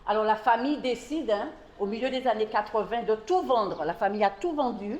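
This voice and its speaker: Over noticeable background noise, a woman talks at a very fast pace. Her pitch is fairly high. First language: French. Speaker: distillery tour guide. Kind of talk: guided tour talk.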